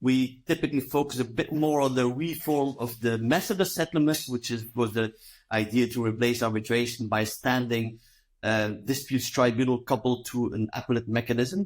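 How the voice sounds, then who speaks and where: The recording is very clean with a silent background. A man speaks in a French accent. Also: medium pitch for a man, ordinary pitch variation, moderate pace. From Belgium. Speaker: law professor. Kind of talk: interview. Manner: halting.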